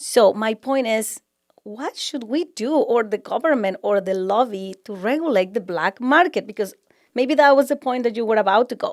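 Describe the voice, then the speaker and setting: A strong Mexican accent with lively intonation at a moderate pace, in a very clean recording with a silent background. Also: woman, fairly high pitch for a woman. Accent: thick Mexican Spanish. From Mexico. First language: Spanish. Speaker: architect. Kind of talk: casual conversation.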